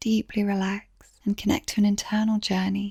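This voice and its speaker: A woman with an English accent talks at a moderate pace and medium pitch, somewhat breathy and flat in intonation, in a dry, close recording with no echo. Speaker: meditation guide. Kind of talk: meditation instructions.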